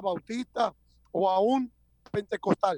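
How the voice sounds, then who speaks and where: A man's voice with ordinary pitch variation, recorded dry and close with no echo. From Dominican Republic, Santo Domingo. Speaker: pastor and church planter. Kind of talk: interview.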